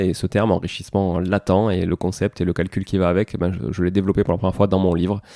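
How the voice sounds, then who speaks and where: Very fast speech in a southern French accent, dark and mellow in tone, in a very clean recording with a silent background. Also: man. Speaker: podcast host, property investor and author. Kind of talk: solo podcast recap. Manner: hesitant, many fillers.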